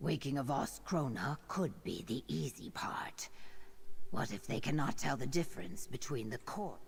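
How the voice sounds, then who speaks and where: Someone whispers in a put-on character voice at a moderate pace. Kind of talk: video game dialogue. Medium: video game. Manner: measured, analytical.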